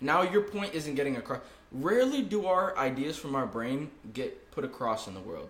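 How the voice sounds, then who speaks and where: A man speaks at a moderate pace with a fairly high pitch and very wide pitch swings, with audible room echo and noticeable background noise. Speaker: podcast host, college student. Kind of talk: casual chat. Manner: stuttering at times.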